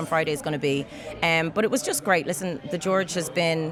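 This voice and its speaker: A woman talks at a fairly quick pace in a very deep, low pitch. Background noise is noticeable. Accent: Dublin. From Ireland. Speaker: singer-songwriter and actress. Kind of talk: interview answer. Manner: casual, chatty.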